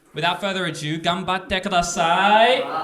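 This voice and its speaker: With an Australian accent, a man speaks in a raised, projected voice and an animated tone, with audible room echo and noticeable background noise. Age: 20s. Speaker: MC of amateur comedy night. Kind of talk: emceeing a live comedy event. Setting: stage with audience at a house party.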